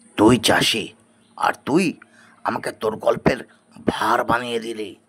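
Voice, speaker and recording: In a cartoonish character voice, a man speaks at a fairly slow pace with a medium pitch. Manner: rough, familiar address.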